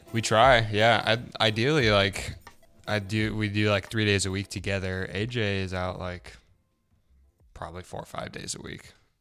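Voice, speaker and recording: A man with a fairly low pitch and fairly even intonation speaks at a moderate pace, with long, frequent pauses and music in the background. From Central California. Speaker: photographer with a corporate job. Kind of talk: casual chat.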